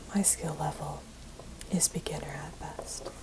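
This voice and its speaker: This is a woman's whisper. The background noise can be clearly noticed. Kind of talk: ASMR, soft-spoken talk to camera while painting nails. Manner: soft-spoken.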